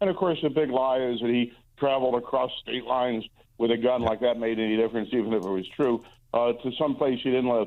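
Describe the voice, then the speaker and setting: Speaking at a fairly quick pace, this is an unremarkable speaking voice. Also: man. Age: 60s. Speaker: Senate candidate. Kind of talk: radio interview.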